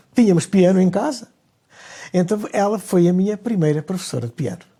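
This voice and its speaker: Speaking at a very fast pace, a man has a high pitch and a dark, mellow tone. He talks with a European Portuguese accent. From Portugal, Lisbon. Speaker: conductor. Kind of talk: interview. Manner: halting.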